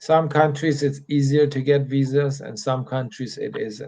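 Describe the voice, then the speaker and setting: Quiet and somewhat breathy, a man speaks with a dark, mellow tone at a fairly high pitch. His intonation stays fairly even, and his pace is fairly slow. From Middle East. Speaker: immigration consultant. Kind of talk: live Q&A stream. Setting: hotel room. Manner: speaking slower and quieter.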